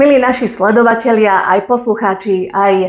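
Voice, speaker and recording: Her voice is an unremarkable speaking voice, a woman's at medium pitch with ordinary pitch variation. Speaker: office spokesperson, podcast host. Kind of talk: podcast interview questions.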